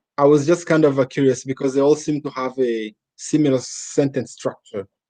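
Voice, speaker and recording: Speaking at a fairly quick pace with a Rwandan accent, a man has a fairly high pitch, a dark, mellow tone and fairly even intonation. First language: Kinyarwanda. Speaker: interviewer. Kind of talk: interview.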